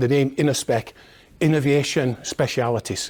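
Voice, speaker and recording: A man speaks with a Scottish accent at a moderate pace. His intonation stays fairly even. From Scotland. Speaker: industry technology manager. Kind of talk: conference presentation. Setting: conference seminar with audience. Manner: hesitant, many fillers.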